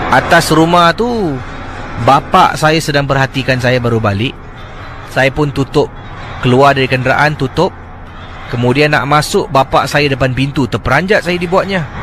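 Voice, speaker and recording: Noticeable background noise sits behind a man at fairly high pitch with ordinary pitch variation. He keeps a moderate pace, with long, frequent pauses. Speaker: late-night radio host. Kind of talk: radio sign-off; radio storytelling, retelling a listener's ghost story. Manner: hesitant, many fillers.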